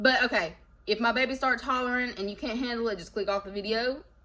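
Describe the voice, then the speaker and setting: A woman's fairly high voice with lively intonation, over noticeable background noise. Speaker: tarot reader. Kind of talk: casual chat. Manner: animated; informal slangy speech.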